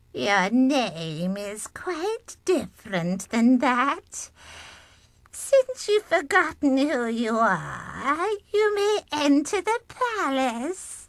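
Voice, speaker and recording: In a put-on character voice, a female-sounding speaker goes at a very slow pace. Her pitch is high and swings very widely. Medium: video game. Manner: mocking.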